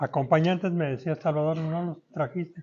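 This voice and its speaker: The speaker is a man. His voice sits fairly high in pitch. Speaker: radio announcer. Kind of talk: talk to a live audience.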